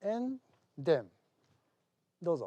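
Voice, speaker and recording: A man talks in a Japanese accent at a very slow pace, with a dark, mellow tone. His intonation is lively, and the background is quiet. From Okinawa, Japan. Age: 60s. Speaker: regional governor. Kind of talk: public speech. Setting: symposium with audience.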